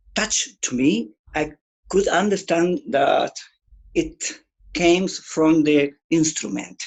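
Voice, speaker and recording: Using long, frequent pauses, a man with a Spanish accent speaks at a very slow pace. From Chile. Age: 60s. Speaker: guitarist. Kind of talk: interview. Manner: halting.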